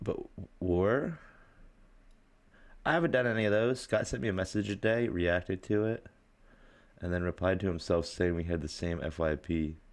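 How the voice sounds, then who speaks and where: Speaking with a Pennsylvania accent at a moderate pace, the voice shows ordinary pitch variation and long, frequent pauses, in a very clean recording with a silent background. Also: man, very deep, low pitch for a man. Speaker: livestreamer. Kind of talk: casual live stream chat. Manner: animated.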